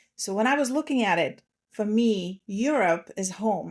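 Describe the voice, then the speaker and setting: A woman speaks with a Russian accent. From Slovakia. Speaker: transformation coach. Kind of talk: podcast interview.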